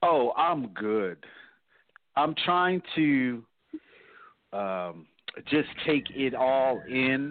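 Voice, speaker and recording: A man's medium-pitched voice with an American accent, very slow and lively in intonation, broken by long, frequent pauses. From New Jersey. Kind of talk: casual chat.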